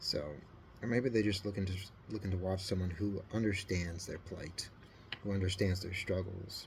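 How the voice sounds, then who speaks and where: The voice is somewhat breathy, with fairly even intonation. The pace is moderate. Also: man. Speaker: scale model builder. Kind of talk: casual hobby video talk. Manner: flat; halting.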